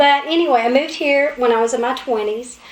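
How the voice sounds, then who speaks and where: High-pitched woman in an Appalachian accent, amid noticeable background noise. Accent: Appalachian Kentucky. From southeastern Kentucky. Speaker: talk show co-host. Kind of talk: casual talk show chat.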